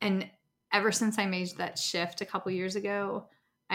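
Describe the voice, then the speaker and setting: Speaking in an American accent, a woman at a medium pitch holds a monotone, flat intonation. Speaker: speech pathologist. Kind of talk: casual chat. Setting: video call.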